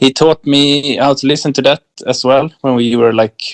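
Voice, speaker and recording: Someone speaks in a Swedish accent at a very slow pace. The intonation stays fairly even. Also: man. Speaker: electronic musician. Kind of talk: interview. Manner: halting.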